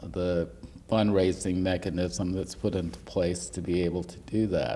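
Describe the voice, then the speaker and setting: Slowish and fairly unhurried, a man with an American accent speaks at a very deep, low pitch in a dark, mellow tone with ordinary pitch variation. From US South. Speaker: history professor. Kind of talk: oral history interview. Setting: university room.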